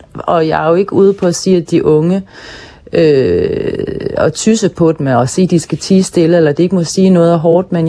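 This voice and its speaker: Speaking at a moderate pace, a woman has a fairly low pitch and a dark, mellow tone. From Hirtshals, North Jutland, Denmark. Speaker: actress and podcast host, author. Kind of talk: interview. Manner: hesitant, many filler sounds.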